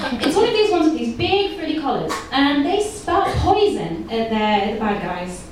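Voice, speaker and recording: A woman with a high pitch and very wide pitch swings, hardly pausing, over noticeable background noise. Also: moderate pace. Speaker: geneticist and stand-up comedian. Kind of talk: stand-up comedy set. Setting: live comedy club.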